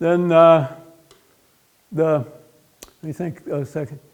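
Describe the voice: A man's fairly high voice, slow-paced, with fairly even intonation and a slightly mellow tone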